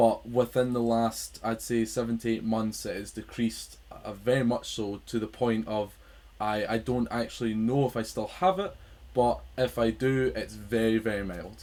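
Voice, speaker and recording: A man with a Scottish accent at a moderate pace. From Scotland. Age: 20s. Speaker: podcast host. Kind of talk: casual chat. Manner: halting.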